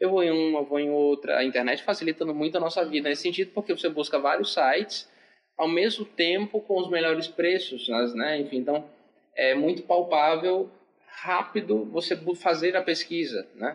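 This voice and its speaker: The speech moves at a moderate pace with ordinary pitch variation. Its loudness stays very even. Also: man, high pitch for a man. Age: 20s. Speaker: psychologist. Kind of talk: casual chat.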